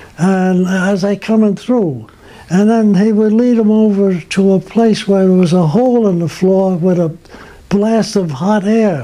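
Over noticeable background noise, a man with an American accent speaks fairly slowly at a high pitch with fairly even intonation. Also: very even loudness. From Brooklyn, New York. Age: 80s+. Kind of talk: interview answer, reminiscing. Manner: hesitant, conversational.

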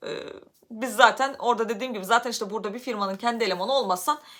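Her voice is fairly high, with a bright, sharp tone and ordinary pitch variation. The woman speaks at a very fast pace. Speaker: YouTuber. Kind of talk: personal vlog storytelling. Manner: loud.

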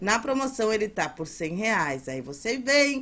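A woman with a fairly high pitch speaks at a very slow pace, her pitch swinging very widely. The recording is very clean, with a silent background. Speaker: seller. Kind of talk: sales pitch. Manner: repeats urgent calls to act.

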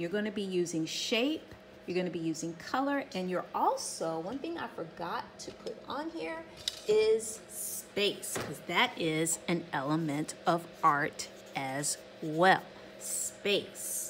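A woman speaks at a very slow pace with a fairly low pitch. Light background noise can be heard. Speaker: art teacher. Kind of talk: tutorial. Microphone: phone near.

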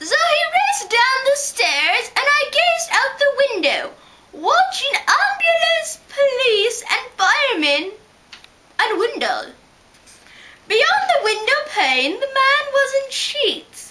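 A put-on character voice, female-sounding and extremely high-pitched, at a fairly slow pace. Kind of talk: rhyming story reading.

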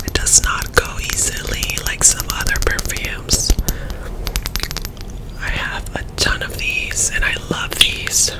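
Whispering and soft-spoken, a woman talks at a very slow pace with long, frequent pauses over loud background noise. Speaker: product reviewer. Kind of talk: casual product review / ASMR chat. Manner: soft ASMR whisper close to the mic. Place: home room. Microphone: studio mic.

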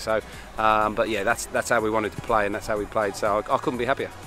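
Very fast talking from a man, dry with no echo, over faint music in the background. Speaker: rugby coach. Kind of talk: interview answer. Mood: happy, proud after win.

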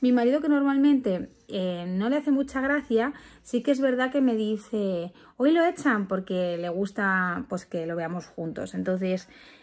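Pitch swings very widely as a woman talks at a fairly slow pace. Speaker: parent vlogger. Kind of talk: casual vlog chat. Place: home room. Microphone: phone near.

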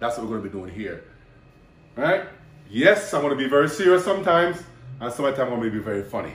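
A man's voice sounds somewhat breathy. Audible room echo surrounds it. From Jamaica. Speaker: bodybuilder and personal trainer; personal trainer. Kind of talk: casual vlog intro. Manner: animated. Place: kitchen.

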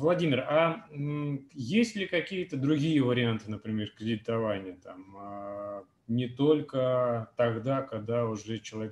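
Audible room echo around a man's voice, its pitch variation ordinary. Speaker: webinar moderator. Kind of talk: webinar moderation. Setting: video call. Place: home room. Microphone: video call.

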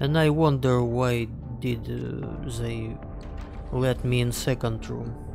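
Music plays in the background as a man speaks. He has a Russian accent and a very slow pace. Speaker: game streamer. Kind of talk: casual gameplay commentary.

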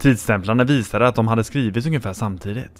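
A man with an unremarkable speaking voice talks at a moderate pace, medium in pitch with ordinary variation. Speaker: horror story narrator. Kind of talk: scripted creepypasta narration, ghost story told in first person. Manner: grave and fearful, dread building.

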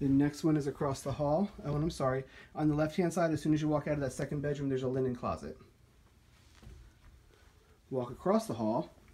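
A dark, mellow, somewhat breathy tone at a very fast pace. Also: man, ordinary pitch variation. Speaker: home tour narrator. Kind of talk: casual walkthrough commentary. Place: home room. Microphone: phone near.

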